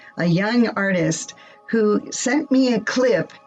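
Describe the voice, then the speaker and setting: Over music in the background, a woman with a fairly high pitch speaks with lively intonation. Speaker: radio show host. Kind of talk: radio show introduction.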